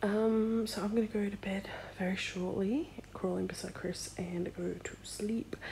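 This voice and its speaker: Soft-spoken, a woman talks at a fairly slow pace. She has an Australian accent. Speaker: vlogger and sticker shop owner. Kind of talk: casual vlog. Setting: in bed at night.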